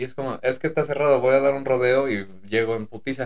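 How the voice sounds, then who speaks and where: A man with a Mexican accent and a fairly high pitch, talking at a very fast pace. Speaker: podcast co-host, former private driver. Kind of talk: casual chat.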